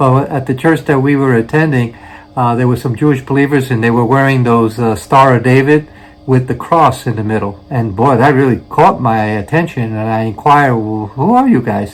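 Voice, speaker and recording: At a moderate pace, a man with a Brooklyn accent talks at medium pitch with ordinary pitch variation. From New York City, Brooklyn. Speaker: missionary preacher. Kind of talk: testimony. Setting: church. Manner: hesitant, many fillers.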